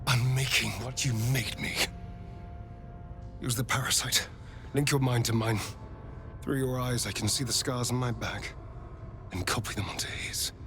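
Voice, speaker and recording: A man puts on a character voice at a medium pitch and a moderate pace. Long, frequent pauses break up his speech amid loud background noise. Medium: video game. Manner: witty, sharp.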